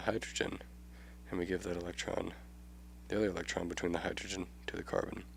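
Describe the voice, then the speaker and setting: A man speaks fairly quickly, his voice showing vocal fry and very wide swings in pitch. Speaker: chemistry tutor. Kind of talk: educational tutorial explanation.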